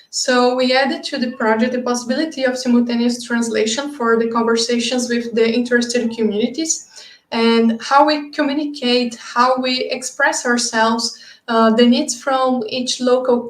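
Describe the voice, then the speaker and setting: Her pitch high and her intonation monotone and flat, a woman speaks at a moderate pace. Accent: Brazilian Portuguese. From Brazil. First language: Brazilian Portuguese. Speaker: project lead presenting at a webinar. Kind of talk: webinar presentation. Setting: online webinar.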